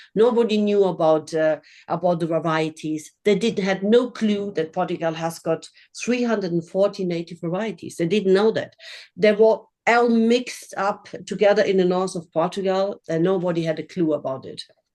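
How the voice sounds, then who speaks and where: This woman has a German accent and a dark, mellow tone at medium pitch. Her pace is moderate and her pitch variation ordinary. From Germany. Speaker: winery owner. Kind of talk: virtual tasting presentation. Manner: halting.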